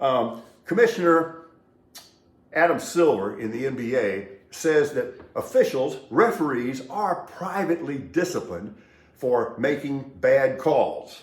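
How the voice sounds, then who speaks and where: A man with a fairly high voice speaks at a fairly slow pace, with audible room echo around him. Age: 60s. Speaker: sports and news commentator. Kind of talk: solo commentary monologue. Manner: casual, sardonic.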